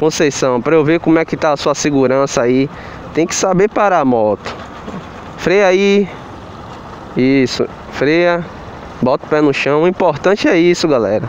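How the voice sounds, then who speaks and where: Over light background noise, a man talks at a moderate pace with long, frequent pauses and very even loudness, the sound dry with no echo. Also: ordinary pitch variation. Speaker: motorcycle driving instructor. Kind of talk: casual vlog instruction. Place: street. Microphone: phone near.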